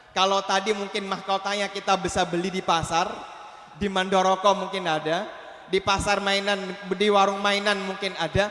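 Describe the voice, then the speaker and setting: Over noticeable background noise, a man uses a raised, projected voice at a high pitch. His intonation is monotone and flat, and his pace is moderate. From Aceh, Indonesia. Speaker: Islamic preacher. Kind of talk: sermon.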